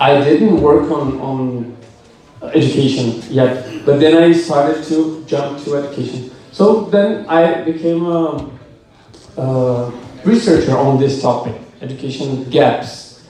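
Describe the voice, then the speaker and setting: In a room with audible echo and noticeable background noise, a man with a fairly high pitch speaks at a fairly slow pace with ordinary pitch variation. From Brazil. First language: Portuguese. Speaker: education researcher. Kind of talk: lightning talk presentation. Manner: halting.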